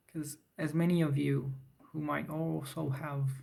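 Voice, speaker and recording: A man talks fairly slowly, and room echo can be clearly heard. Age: 30s. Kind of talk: talking head vlog. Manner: halting, with fillers.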